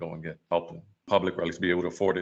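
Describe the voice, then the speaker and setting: A man talks at a very fast pace. He has a New York accent. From New York City, Washington Heights. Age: 40s. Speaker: photographer. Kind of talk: casual chat.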